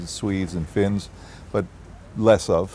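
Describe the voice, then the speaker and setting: A man with a Boston accent speaks at a moderate pace in a fairly low pitch with monotone, flat intonation. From US Northeast, Boston. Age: 70s. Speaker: property developer executive. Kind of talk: interview.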